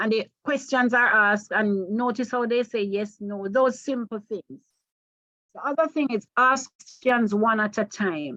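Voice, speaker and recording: At a fairly slow pace, a woman speaks in a fairly high pitch with ordinary variation and a bright, sharp tone. The sound is dry and close with no echo, over a quiet background. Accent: Jamaican. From Jamaica. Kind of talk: training seminar lecture.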